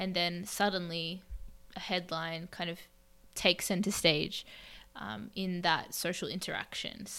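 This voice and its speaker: Medium-pitched woman with an Australian accent and fairly even intonation, on a very clean recording with a silent background. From Australia, Melbourne. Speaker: podcast co-host, English teacher. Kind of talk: casual discussion.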